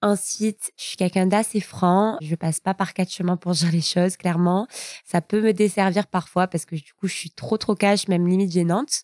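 A woman talks at a moderate pace and a medium pitch, her voice dry and close with no echo on a very clean recording with a silent background. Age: 20s. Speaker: young mother, social media coordinator. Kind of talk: personal testimony. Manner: animated.

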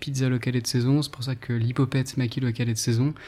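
A man's dark, mellow, somewhat breathy voice at medium pitch, fairly quick pace and fairly even intonation. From France, northern Ardèche. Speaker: restaurateur. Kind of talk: interview. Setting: in a restaurant.

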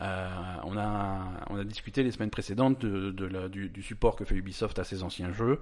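A man's normal speaking voice, fairly low in pitch, with fairly even intonation at a moderate pace. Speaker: podcast host. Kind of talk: casual chat. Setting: studio.

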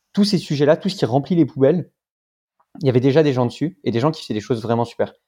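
On a very clean recording with a silent background, a man with a fairly high pitch and a dark, mellow tone talks at a very fast pace with lively intonation. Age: 20s. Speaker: startup co-founder. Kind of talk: interview.

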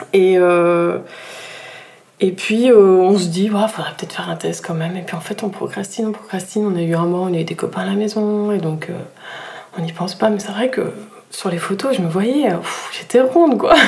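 Long, frequent pauses break up a woman's speech, which has ordinary pitch variation, noticeable background noise and audible room echo. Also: medium pitch for a woman, moderate pace. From southern France (Nîmes). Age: 30s. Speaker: physiotherapist and mother. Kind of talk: personal testimony in interview.

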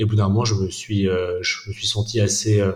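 At a fairly slow pace, a man speaks in a fairly low pitch. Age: 30s. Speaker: organic food wholesale cofounder. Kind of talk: interview. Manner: halting, many repetitions and fillers.

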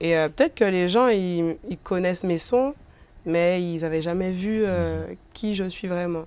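Very slowly, a woman speaks in a fairly low pitch. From Guadeloupe, countryside. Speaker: rapper. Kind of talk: interview. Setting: bookstore cultural space. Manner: hesitant, many fillers.

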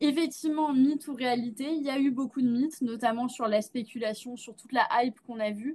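Speaking fairly quickly with hardly any pauses, a woman uses a high pitch and fairly even intonation while her loudness swings widely. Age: 20s. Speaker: Web3 consultancy CEO. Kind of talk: interview.

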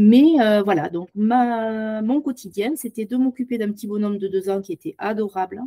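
A woman's fairly high voice has a dark, mellow tone and ordinary pitch variation, heard dry and close with no echo. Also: moderate pace. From southwest France, Tarn-et-Garonne. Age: 50s. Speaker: podcast guest, former au pair. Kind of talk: interview testimony.

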